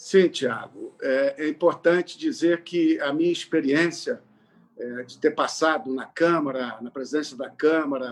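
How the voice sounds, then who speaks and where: A man's fairly high voice, with ordinary variation in pitch, moves along at a fairly slow speed. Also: big swings in loudness. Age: 60s. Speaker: politician. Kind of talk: political interview. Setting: live online broadcast. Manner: hesitant, many fillers.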